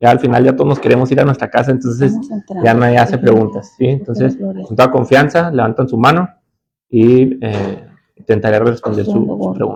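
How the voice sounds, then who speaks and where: Using an unremarkable speaking voice, a man talks at medium pitch and a moderate pace with ordinary pitch variation. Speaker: judge and law lecturer. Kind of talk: lecture.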